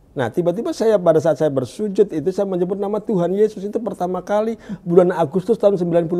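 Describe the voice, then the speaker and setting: Hardly pausing at all, a man talks very fast in a high voice with ordinary pitch variation. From Indonesia, Jakarta (East Jakarta); Jakarta, Indonesia. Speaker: evangelist. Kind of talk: testimony. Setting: studio. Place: studio. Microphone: lapel.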